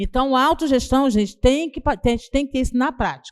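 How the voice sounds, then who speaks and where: Against a quiet background, a woman talks fairly quickly at a high pitch. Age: 60s. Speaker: housing movement leader. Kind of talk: panel discussion.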